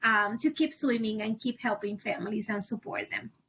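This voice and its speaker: Moderate-paced speech from a woman, with ordinary pitch variation. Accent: Spanish. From Puerto Rico. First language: Spanish. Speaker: family advocate. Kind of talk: panel discussion. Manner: halting.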